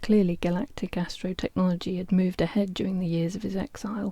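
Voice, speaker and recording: A soft-spoken woman talks at a fairly quick pace in a medium pitch, somewhat breathy. Her tone is dark and mellow, with fairly even intonation. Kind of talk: audiobook reading.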